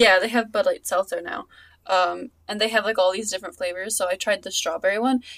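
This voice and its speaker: A woman with an American accent talks at a fairly quick pace and fairly high pitch. Her pitch variation is ordinary, and the sound is dry and close with no echo. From Long Island, New York. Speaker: podcast co-host. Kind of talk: casual chat.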